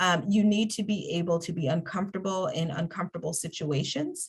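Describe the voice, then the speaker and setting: A woman talks at a fairly low pitch with fairly even intonation. Her voice is somewhat breathy. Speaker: workshop presenter on mentorship. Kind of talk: webinar presentation. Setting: online webinar.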